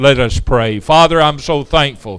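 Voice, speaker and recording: The background stays quiet while a man talks. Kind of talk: sermon and prayer. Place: church.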